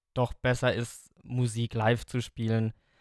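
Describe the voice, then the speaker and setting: A man talks at a very slow pace in a medium pitch. His intonation is monotone and flat, and the sound is dry and close with no echo. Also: very clean recording, silent background. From Germany, Lower Franconia near Aschaffenburg. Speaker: metal drummer and songwriter. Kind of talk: podcast interview.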